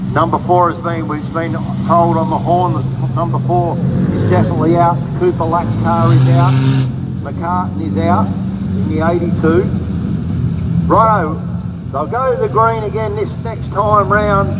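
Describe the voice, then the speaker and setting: Loud background noise behind a man's fairly slow speech. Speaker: speedway race commentator. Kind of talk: commentary. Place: stadium.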